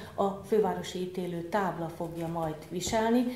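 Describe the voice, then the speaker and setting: A woman speaks with fairly even intonation. Audible room echo and light background noise come through. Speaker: court president giving a talk; invited lecturer, judge. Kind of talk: formal lecture followed by Q&A. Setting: lecture room with audience. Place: meeting room. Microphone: podium.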